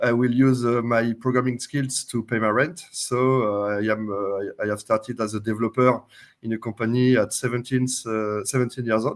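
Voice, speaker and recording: A man with a French accent, moderate pace and monotone, flat intonation. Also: medium pitch for a man. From France. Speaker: software company CTO and open source creator. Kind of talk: interview. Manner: hesitant, many uh fillers.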